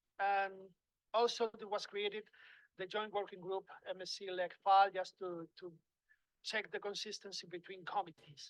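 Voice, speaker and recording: Moderate pace broken by long, frequent pauses. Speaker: panel speaker on maritime regulation. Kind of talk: conference presentation. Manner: halting, many fillers and repeats.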